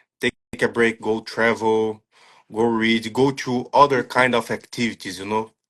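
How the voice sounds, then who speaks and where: Speaking with a non-native accent, a man talks fairly slowly at a medium pitch with monotone, flat intonation. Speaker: striking coach. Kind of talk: interview. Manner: halting.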